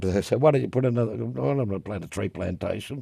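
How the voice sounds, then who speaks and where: Talking at a very fast pace with very wide pitch swings, a man with an Australian accent has a dark, mellow tone and vocal fry. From Western Australia, Perth. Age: 70s. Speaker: drum maker and drummer. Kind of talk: casual interview chat.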